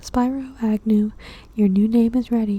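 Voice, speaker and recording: A soft-spoken woman with a fairly high pitch and a dark, mellow, somewhat breathy tone speaks at a fairly slow pace with fairly even intonation. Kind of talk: ASMR magazine reading.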